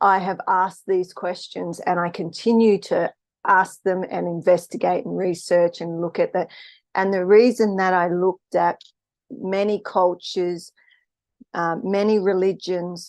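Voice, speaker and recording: Speaking at a fairly slow pace in an Australian accent, a woman keeps a medium pitch and a monotone, flat intonation. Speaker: spiritual live streamer. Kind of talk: casual live stream talk. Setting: live stream. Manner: hesitant, many fillers.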